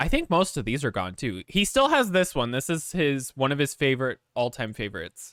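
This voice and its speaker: With hardly any pauses, a man talks at a fairly quick pace in a fairly high voice with very wide pitch swings, the sound dry and close with no echo over a very clean, silent background. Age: 20s. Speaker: streamer. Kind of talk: casual chat.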